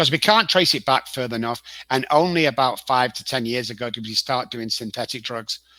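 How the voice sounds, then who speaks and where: A man speaks with an English accent at a fairly quick pace and medium pitch. His tone is bright and sharp, with ordinary pitch variation. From northern England, Manchester. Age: 60s. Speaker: addiction consultant. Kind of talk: interview.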